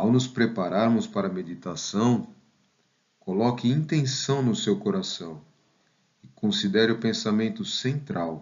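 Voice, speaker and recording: With long, frequent pauses, a man speaks at a fairly slow pace in a medium pitch, his loudness very even and his intonation lively. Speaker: meditation guide and math professor. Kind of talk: guided meditation. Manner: slow, calm, soothing, gentle pacing with pauses; soft-spoken.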